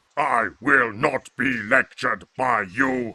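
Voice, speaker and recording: A put-on character voice at a fairly slow pace. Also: man, medium pitch for a man. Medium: audio drama. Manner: formal, imperious.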